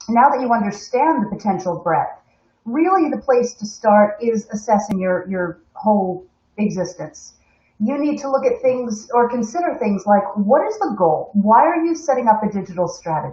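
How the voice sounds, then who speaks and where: A woman with an American accent, a somewhat breathy, fairly high voice, lively intonation and a moderate pace. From United States. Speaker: corporate webinar host. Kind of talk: live stream presentation. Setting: live stream from home.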